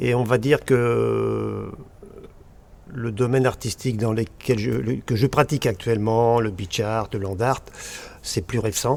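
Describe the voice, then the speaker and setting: The pace is very slow, broken by long, frequent pauses. Pitch varies in an ordinary way. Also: man, medium pitch for a man. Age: 60s. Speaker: land and beach artist. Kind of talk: casual chat.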